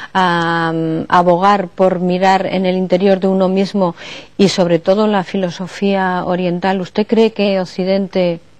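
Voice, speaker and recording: Her intonation stays monotone and flat. This woman talks fairly slowly at a medium pitch. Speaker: radio program host and interviewer. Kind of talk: interview questions.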